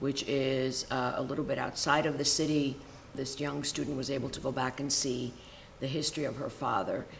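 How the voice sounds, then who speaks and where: With an American accent, a woman talks at a fairly quick pace in a very deep, low voice, her intonation flat and monotone, with audible room echo. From Cuba (Havana) until age six, then raised in the US. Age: 50s. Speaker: sociology professor. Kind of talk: interview. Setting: sit-down interview. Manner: many fillers (um, uh).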